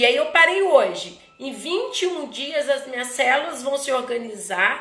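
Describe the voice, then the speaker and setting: Against noticeable background noise, a woman with a high voice speaks at a fairly slow pace, her pitch swinging very widely. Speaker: therapist hosting live talk. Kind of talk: live stream talk. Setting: Instagram live. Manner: halting, many false starts.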